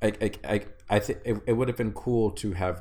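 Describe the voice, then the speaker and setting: An American accent and ordinary pitch variation come through in this man's somewhat breathy voice. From Texas. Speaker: podcast co-host. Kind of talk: casual chat. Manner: halting, many repetitions.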